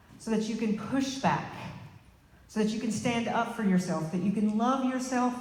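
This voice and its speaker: A woman with a Southern US accent speaks at a fairly high pitch with ordinary pitch variation. Noticeable background noise and audible room echo fill the recording. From Arkansas. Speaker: political candidate. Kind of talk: rally speech. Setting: rally with audience.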